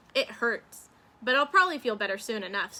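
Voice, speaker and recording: Using a put-on character voice, a woman speaks at a fairly quick pace with a fairly high pitch. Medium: read story. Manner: good-natured.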